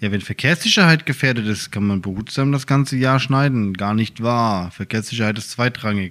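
A plain, everyday voice from a man at medium pitch, moderate pace, ordinary pitch variation and hardly any pauses. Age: 30s. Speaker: podcast co-host, firefighter. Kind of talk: casual chat.

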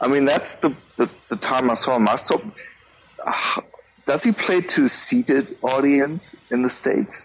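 A man with a German accent and a fairly high pitch speaks at a fairly slow pace, with lively intonation, very even loudness, and noticeable background noise. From Germany. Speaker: music podcaster. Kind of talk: casual chat.

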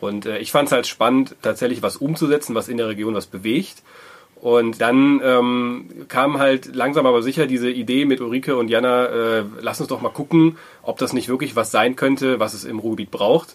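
Speaking in a plain, everyday voice, a man keeps a medium pitch. His pace is moderate and his intonation fairly even. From Germany, Wuppertal. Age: 30s. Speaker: co-founder of a social impact hub. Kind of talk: interview.

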